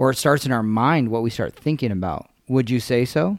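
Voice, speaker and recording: Recorded very cleanly against a silent background, a man uses a normal speaking voice at a medium pitch with ordinary pitch variation. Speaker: podcast host. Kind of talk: casual chat. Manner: jovial, bantering.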